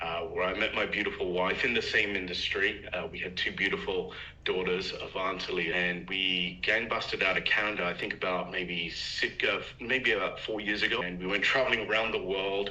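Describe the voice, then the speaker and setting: With a British accent, a man speaks at a moderate pace with hardly any pauses, over noticeable background noise and audible room echo. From London, England. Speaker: network marketer. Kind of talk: casual chat. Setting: video call. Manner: many filler words.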